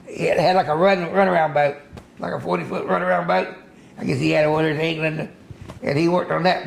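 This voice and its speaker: Over noticeable background noise, a man talks at a fairly quick pace with an American accent. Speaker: fisherman. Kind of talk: interview answer. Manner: casual, rambling storytelling.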